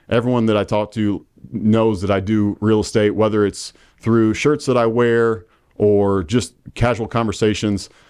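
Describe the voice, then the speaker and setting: Speaking at a moderate pace with a Midwestern US accent, a man is heard over a quiet background. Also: fairly even intonation, very even loudness. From Indiana (Marion). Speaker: real estate agent. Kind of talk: casual interview. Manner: halting, many fillers.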